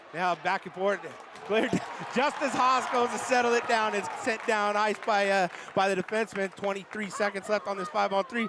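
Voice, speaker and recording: A man talks at a fairly quick pace in a high voice for a man. Noticeable background noise runs behind him. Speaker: hockey play-by-play commentator. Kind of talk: live commentary; casual chat. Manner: animated, halting with many fillers.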